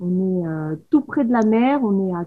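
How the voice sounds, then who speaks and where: A woman at a fairly slow pace. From Paris, France. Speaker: photographer. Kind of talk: casual chat. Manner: sing-song southern intonation.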